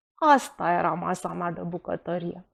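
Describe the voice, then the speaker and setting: A woman speaks in a normal speaking voice with lively intonation, recorded with a dry, close sound, no echo and a quiet background. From Romania, Bucharest. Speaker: writer. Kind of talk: reading aloud.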